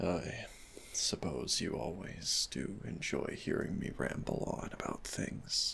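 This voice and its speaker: A man whispering at a very slow pace in a gentle tone, over noticeable background noise. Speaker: audio roleplay performer. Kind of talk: boyfriend comfort roleplay. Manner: soft-spoken, gentle.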